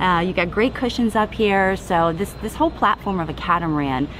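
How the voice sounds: Over clear background noise, a woman speaks at a fairly low pitch with lively intonation. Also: fairly quick pace.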